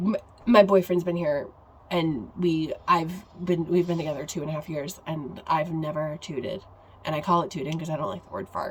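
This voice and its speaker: A woman talks at a moderate pace in a fairly low pitch, with an American accent. It is an unremarkable speaking voice. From upstate New York. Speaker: podcast co-host. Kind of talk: casual chat.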